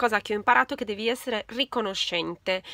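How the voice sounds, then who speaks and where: In a quiet, dry setting with no echo, a woman speaks in a bright, sharp tone with ordinary pitch variation. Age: 40s. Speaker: beauty YouTuber. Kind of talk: casual chat. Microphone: phone near.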